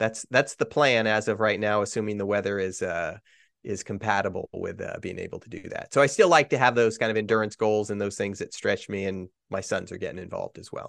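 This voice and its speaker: Over a quiet background, a man's fairly low voice moves at a fairly quick pace with ordinary pitch variation and big swings in loudness, the sound dry and close with no echo. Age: 50s. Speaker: executive coach and endurance athlete. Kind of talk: interview. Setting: remote call. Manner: halting, frequent repetitions.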